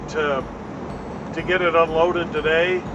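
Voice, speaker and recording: Noticeable background noise sits behind the speech. A man talks through it at a moderate pace. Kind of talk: casual vlog chat. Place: car. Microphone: phone near.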